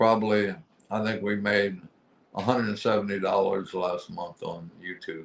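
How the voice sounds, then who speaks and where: A man talks at a fairly slow pace in a fairly low pitch. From USA. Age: 60s. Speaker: interviewee, YouTuber with health problems. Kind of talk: interview. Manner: halting.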